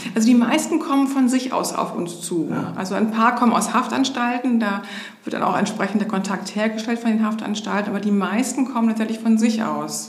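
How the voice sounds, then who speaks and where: A woman speaks at a fairly quick pace with fairly high pitch and ordinary pitch variation, amid noticeable background noise and audible room echo. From Hamburg area, northern Germany. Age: 50s. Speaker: social worker, homeless shelter manager. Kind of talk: interview.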